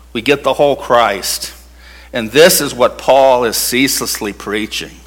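Noticeable background noise runs through the clip. The speaking pace is fairly slow. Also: man. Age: 60s. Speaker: pastor. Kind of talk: sermon. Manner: halting.

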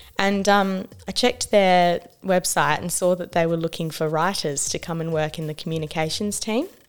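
With an Australian accent, a woman talks at a moderate pace and fairly low pitch, her intonation fairly even and hardly any pauses. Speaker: social justice worker and writer. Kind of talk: radio interview. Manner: hesitant, many fillers.

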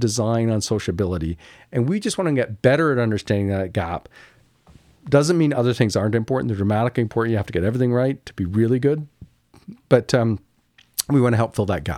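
A man with a Canadian accent speaks in a plain, everyday voice at a medium pitch, recorded very cleanly against a silent background. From Canada, Kingston, Ontario. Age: 60s. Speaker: architect. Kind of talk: interview conversation. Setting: studio.

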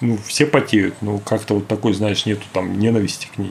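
A fairly quick pace and fairly even intonation, with noticeable background noise. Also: man. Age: 40s. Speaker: forensic medical expert. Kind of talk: casual chat.

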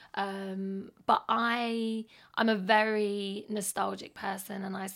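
A woman talks very slowly, her voice at a medium pitch. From London. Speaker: artist. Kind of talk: casual chat about music and life, podcast interview. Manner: reflective, conversational.

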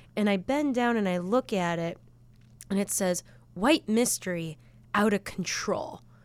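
Speaking fairly slowly with lively intonation and long, frequent pauses, a woman with a strong Chicago accent is heard on a very clean recording with a silent background. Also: medium pitch for a woman. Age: 30s. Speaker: band guitarist and singer. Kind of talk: casual interview chat.

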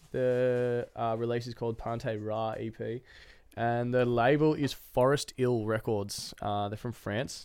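A man with an Australian accent at a medium pitch, very slow and flat in a monotone. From Australia, Queensland (Noosa). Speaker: DJ. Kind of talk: casual chat.

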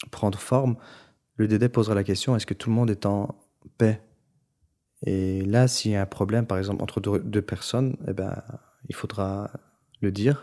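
In a very clean recording with a silent background, a man speaks at a fairly low pitch and fairly slow pace, with fairly even intonation and long, frequent pauses. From Brussels, Belgium, Turkish family. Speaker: musician. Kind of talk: interview testimony. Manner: halting.

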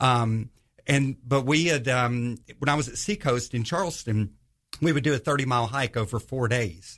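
With an American accent, a man has an ordinary speaking voice at medium pitch and a moderate pace. His pitch varies normally, on a very clean recording with a silent background. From US South, northwest Georgia. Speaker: Bible study group leader. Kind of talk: casual chat.

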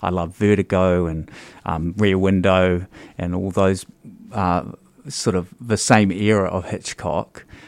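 On a very clean recording with a silent background, a man with a New Zealand accent speaks at a very deep, low pitch, fairly slowly and with fairly even intonation. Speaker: stage actor. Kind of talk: interview. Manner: halting.

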